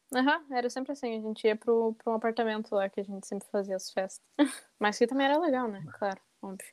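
A woman speaks very fast at a fairly high pitch, with ordinary pitch variation. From southern Brazil, Rio Grande do Sul. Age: 20s. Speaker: journalism student. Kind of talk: casual chat.

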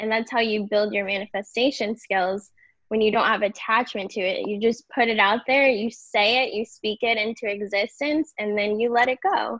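A woman with a normal speaking voice talks at a fairly high pitch and a moderate pace. Her intonation is fairly even, and there are hardly any pauses. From Indiana. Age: 30s. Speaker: influencer and blogger. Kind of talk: casual interview.

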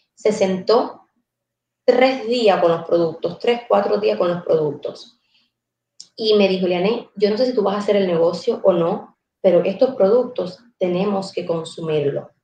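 Woman's dark, mellow, somewhat breathy voice, medium pitch, ordinary pitch variation, fairly slow pace. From Cuba, Guantánamo province. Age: 20s. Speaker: entrepreneur. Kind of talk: casual chat.

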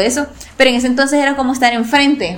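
The speaker is a woman. Her voice comes with audible room echo amid noticeable background noise. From El Salvador, La Paz coast. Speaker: sports journalist. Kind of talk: interview.

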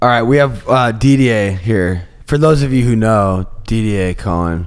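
A man's ordinary speaking voice at a medium pitch, moderate pace and ordinary pitch variation. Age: 30s. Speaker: podcast host. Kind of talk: casual chat.

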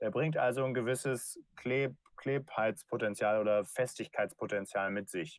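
Fairly slow delivery from a man in a normal speaking voice at medium pitch, the sound dry and close with no echo, the recording very clean with a silent background. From Germany, rural North Rhine-Westphalia. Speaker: startup founder. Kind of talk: interview.

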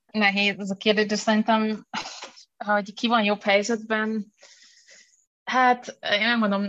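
A woman talks at a fairly high pitch in a flat, monotone way. Her pace is fairly slow, with long, frequent pauses. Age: young. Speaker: university lecturer and researcher. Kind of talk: interview.

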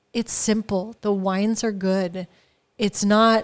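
Her intonation stays monotone and flat as a woman speaks at a medium pitch with an American accent. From California, US. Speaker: wine importer, business owner. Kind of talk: casual chat. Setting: informal studio, live on an audio app.

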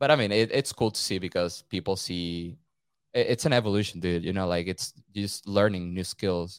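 With a Venezuelan accent, the speaker goes at a moderate pace with ordinary pitch variation. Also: man, fairly low pitch for a man. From Caracas, Venezuela. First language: Spanish. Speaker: photographer and videographer. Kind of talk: casual chat. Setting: remote call, rain outside.

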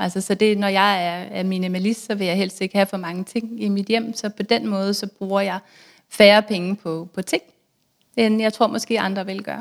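On a very clean recording with a silent background, a woman speaks at medium pitch and a moderate pace in a monotone, flat intonation. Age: 30s. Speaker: author and blogger on personal finance. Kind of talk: casual interview.

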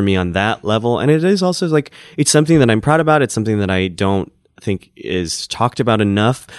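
A man with a fairly low pitch talks at a fairly quick pace with lively intonation in an ordinary speaking voice, recorded dry and close with no echo against a quiet background. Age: 30s. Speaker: stand-up comedian. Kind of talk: casual interview chat.

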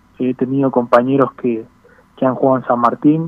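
A man speaks at a moderate pace in a medium pitch, with fairly even intonation. Noticeable background noise runs under his voice. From Buenos Aires, Argentina. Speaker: professional footballer. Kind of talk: interview.

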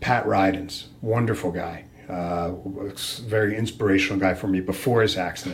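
A man's very deep, low voice at a moderate pace, fairly even in intonation, with audible room echo. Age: 50s. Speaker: martial artist and lawyer. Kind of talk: interview conversation.

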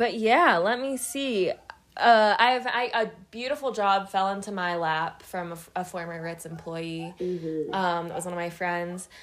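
Here is a woman with a normal speaking voice and an American accent. Her medium pitch shows ordinary variation at a moderate pace. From Pittsburgh, Pennsylvania. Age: 20s. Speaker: podcast co-host. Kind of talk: casual chat.

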